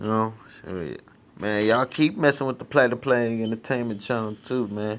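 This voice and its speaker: A man speaking at a moderate pace. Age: 30s. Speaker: rapper and vlogger. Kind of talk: casual monologue. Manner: animated.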